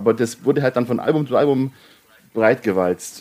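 A man's normal speaking voice at medium pitch and a fairly quick pace. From Bavaria. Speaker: indie rock podcast co-host. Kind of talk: casual chat.

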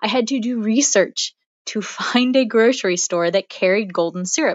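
A plain, everyday voice from a woman with an American accent, fairly high in pitch, with lively intonation and a moderate pace. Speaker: podcaster leaving a voicemail. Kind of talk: voicemail message. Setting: phone call.

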